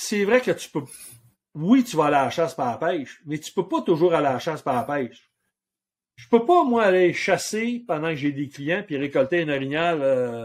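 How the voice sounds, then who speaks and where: Against a silent background in a very clean recording, a man with a Quebec accent talks at a moderate pace in a fairly high pitch, with lively intonation and big swings in loudness. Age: 60s. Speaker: outfitter and hunting guide. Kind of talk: casual interview chat.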